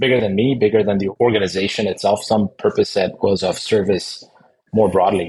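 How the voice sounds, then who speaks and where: A man's somewhat breathy voice, fairly low in pitch, with fairly even intonation and a moderate pace. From Middle East. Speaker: energy executive. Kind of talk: interview.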